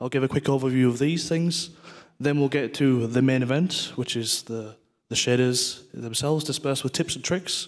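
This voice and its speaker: Here a man speaks at medium pitch with a northeast English accent. His pitch varies in an ordinary way. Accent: northeast England (Teesside). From northeast England, Middlesbrough. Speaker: game technical artist, conference speaker. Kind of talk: conference talk; casual interview chat.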